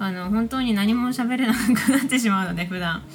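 Fairly quick delivery with lively intonation over noticeable background noise. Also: woman. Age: 20s. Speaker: podcast host, illustrator and track maker. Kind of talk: solo podcast talk. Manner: casual, frequent laughter.

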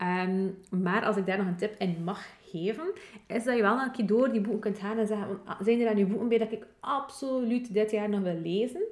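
A woman with a fairly high pitch and ordinary pitch variation talks at a fairly quick pace over noticeable background noise. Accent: West Flemish. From West Flanders, Belgium. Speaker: podcast co-host. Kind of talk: casual chat.

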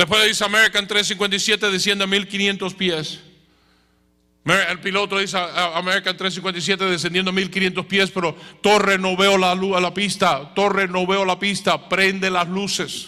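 A man's raised, projected voice, high in pitch, bright and sharp in tone, monotone and flat, at a fairly slow pace. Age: 60s. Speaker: preacher. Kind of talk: sermon. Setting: church.

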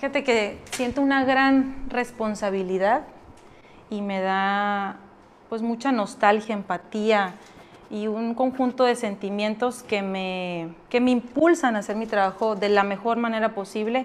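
A woman with a normal speaking voice talks at a fairly slow pace and a fairly high pitch, with ordinary pitch variation. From Mexico, Sonora (Navojoa). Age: 20s. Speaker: politician. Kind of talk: interview.

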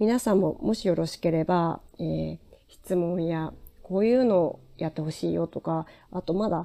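In a very clean recording with a silent background, a woman speaks at a moderate pace, her fairly low voice dark and mellow and her tone calm. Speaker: podcaster and former TV presenter. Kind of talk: casual solo talk.

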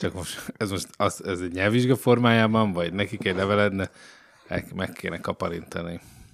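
A man talks at a moderate pace with fairly low pitch and fairly even intonation, with noticeable background noise behind him. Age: 30s. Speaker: video reporter. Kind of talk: casual chat. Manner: halting.

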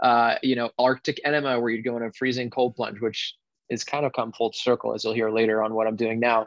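A man with an American accent at a fairly quick pace, medium pitch and flat, monotone intonation. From Connecticut. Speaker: wellness facilitator. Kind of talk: interview.

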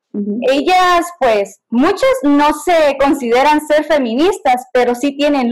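The intonation is lively. The pace is very slow. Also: woman. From Guatemala, K'iche' Maya. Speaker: workshop participant. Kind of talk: discussion comment.

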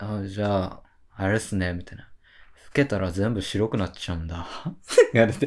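A man with a fairly low voice speaks at a moderate pace, leaving long, frequent pauses, on a very clean recording with a silent background. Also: ordinary pitch variation. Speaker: freelance writer, podcast co-host. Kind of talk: casual chat. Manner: boisterous, laughing a lot.

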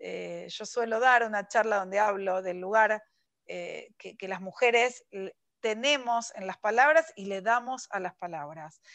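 A woman with an unremarkable speaking voice talks at a fairly slow pace and a fairly high pitch. Her pitch varies in an ordinary way, while her loudness swings widely. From Argentina, Buenos Aires. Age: 40s. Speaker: writer. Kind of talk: interview. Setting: video call.

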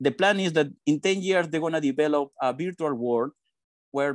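In a dry, close sound with no echo, a man with a Spanish accent talks at a moderate pace, his fairly high pitch showing ordinary variation. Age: 40s. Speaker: PR and communications professional. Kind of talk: interview.

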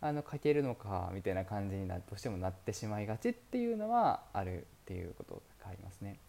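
A man's fairly low, dark, mellow voice at a very fast pace, with hardly any pauses, ordinary pitch variation and big swings in loudness. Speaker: podcast host, entrepreneur. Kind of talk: solo monologue podcast. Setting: currently in Dubai. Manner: polite, many fillers.

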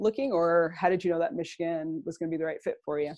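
A woman with a Canadian accent, a dark, mellow tone and ordinary pitch variation, over a quiet background. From Toronto, Canada. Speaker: podcast host, recruiting company founder. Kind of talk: interview. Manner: hesitant, many fillers.

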